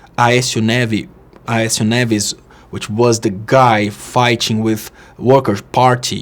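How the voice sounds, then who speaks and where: A fairly slow, fairly even-toned man with a Portuguese accent. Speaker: political commentator. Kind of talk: political monologue. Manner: halting.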